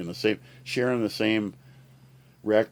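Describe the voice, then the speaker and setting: His tone is dark and mellow. The man speaks at a moderate pace with a fairly low pitch. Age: 60s. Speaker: retired care worker. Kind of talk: casual chat. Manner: animated.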